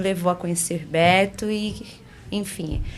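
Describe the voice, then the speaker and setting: A woman speaks very slowly with a strong Pernambuco accent. Her pitch is medium and her intonation fairly even. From Recife, Pernambuco, Brazil. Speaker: business partner and mentor, former health professional. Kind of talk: podcast interview.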